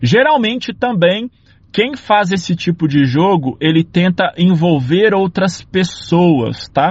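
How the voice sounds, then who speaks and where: A man's high-pitched voice at a very slow pace, with lively intonation and very even loudness. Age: 30s. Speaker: civil engineer. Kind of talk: casual monologue.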